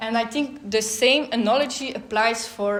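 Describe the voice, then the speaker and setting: A woman's fairly high voice with a non-native accent and fairly even intonation, amid audible room echo and noticeable background noise. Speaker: law researcher. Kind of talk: conference talk. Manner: hesitant with fillers.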